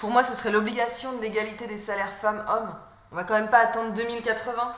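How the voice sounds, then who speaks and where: A woman's fairly high-pitched voice at a very fast pace, with big swings in loudness over noticeable background noise. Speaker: voice actor, actress. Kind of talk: web series dialogue, scripted educational sketch. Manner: energetic, coaching tone.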